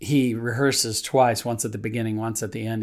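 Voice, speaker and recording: A man speaks at a medium pitch with a warm tone and fairly even intonation. The recording is very clean, with a silent background. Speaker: pastor. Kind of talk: devotional reading and prayer. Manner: halting, with frequent fillers; warm, earnest, conversational.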